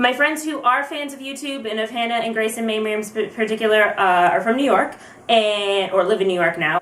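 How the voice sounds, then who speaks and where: Over noticeable background noise, a woman speaks at a fairly quick pace in a medium pitch with lively intonation. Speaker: vlogger. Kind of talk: casual talk to camera. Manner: fast; rambling storytelling.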